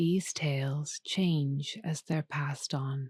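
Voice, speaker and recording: Soft-spoken, calm speech at a very slow pace on a very clean recording with a silent background. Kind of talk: sleep story. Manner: soft-spoken, calm, slow.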